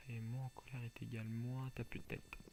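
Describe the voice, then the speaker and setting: Soft-spoken and somewhat breathy, a man talks at a fairly quick pace with a medium pitch, a dark, mellow tone and monotone, flat intonation. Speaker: gaming YouTuber. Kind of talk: gameplay commentary. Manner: soft-spoken, speaking quietly; halting, many repetitions.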